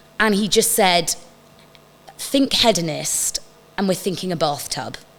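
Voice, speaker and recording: Noticeable background noise sits under a voice with lively intonation and a fairly slow pace. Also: woman, medium pitch for a woman. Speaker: stage and screen actress. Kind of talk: casual chat.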